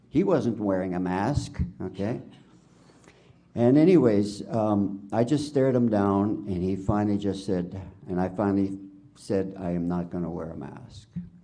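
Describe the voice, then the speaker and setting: A man talks at a fairly slow pace in a fairly low pitch with a dark, mellow tone. His pitch varies in an ordinary way, and audible room echo surrounds him. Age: 70s. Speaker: witness at a public inquiry. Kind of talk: testimony. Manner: halting.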